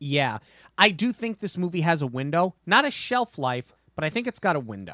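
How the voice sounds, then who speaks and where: With an American accent, a man speaks at a high pitch and a moderate pace, his bright, sharp tone swinging very widely in pitch, in a very clean recording with a silent background and a dry, close sound with no echo. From US Northeast. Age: 30s. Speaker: podcast host. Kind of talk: casual chat.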